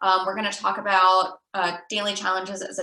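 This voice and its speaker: A woman speaks at a moderate pace and medium pitch in a normal speaking voice. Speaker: youth program trainer. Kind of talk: online training presentation.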